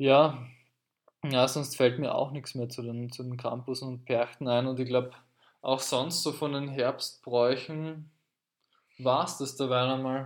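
In a very clean recording with a silent background, a man at a medium pitch talks at a very slow pace with long, frequent pauses and monotone, flat intonation. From Austria, Carinthia. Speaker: podcast host, language teacher. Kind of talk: casual chat.

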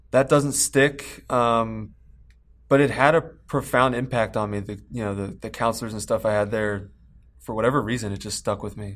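At a moderate pace, a man speaks in a plain, everyday voice with ordinary pitch variation and big swings in loudness. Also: medium pitch for a man. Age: 20s. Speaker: addiction treatment worker in recovery. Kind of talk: interview.

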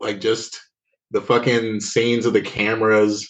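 A man speaks at a fairly low pitch in a monotone, flat intonation. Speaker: podcast co-host. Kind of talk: casual chat.

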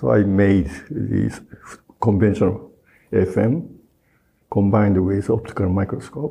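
Lively in intonation yet very even in loudness, a man with a fairly low pitch and vocal fry speaks with long, frequent pauses. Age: 70s. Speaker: professor and scientist. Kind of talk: interview answers, explanatory.

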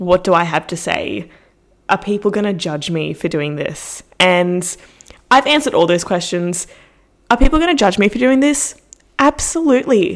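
A woman speaks at a moderate pace in a medium pitch, her voice swinging very widely up and down. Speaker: podcaster and fitness influencer. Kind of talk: casual solo monologue. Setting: home recording with mic and headphones. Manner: chatty, self-deprecating, informal.

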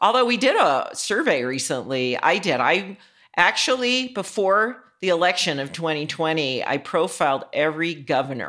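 A woman speaks at a moderate pace in a fairly low pitch with a bright, sharp tone. Her pitch swings very widely, and the recording is very clean with a silent background. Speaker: author and energy healer. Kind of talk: casual interview chat.

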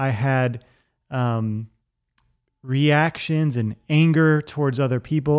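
An American accent marks this man's unremarkable speaking voice, medium in pitch with ordinary pitch variation. He speaks at a fairly slow pace against a quiet background. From Virginia, US. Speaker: podcast host. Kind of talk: personal testimony.

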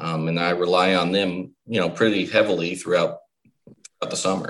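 A man's very deep, low voice in an American accent, with monotone, flat intonation. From State College, Pennsylvania. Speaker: sports turf manager. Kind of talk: casual interview chat.

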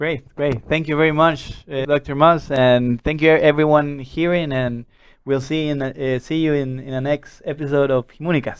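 A man speaks at a moderate pace with a Spanish accent. His intonation is monotone and flat. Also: fairly high pitch for a man. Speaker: podcast host. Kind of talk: interview. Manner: halting.

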